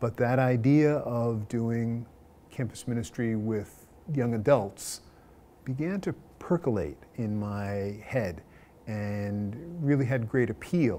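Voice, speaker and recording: A man with an American accent, medium pitch and a dark, mellow tone, showing ordinary pitch variation at a very slow pace. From Long Island, New York. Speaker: Jesuit priest. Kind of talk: interview answer.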